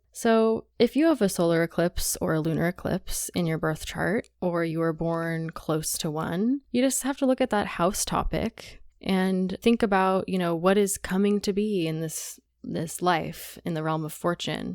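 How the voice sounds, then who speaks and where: An unremarkable speaking voice at a fairly slow pace with ordinary pitch variation, dry and close with no echo, in a very clean recording with a silent background. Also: woman, medium pitch for a woman. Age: 20s. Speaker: astrologer. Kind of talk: casual chat.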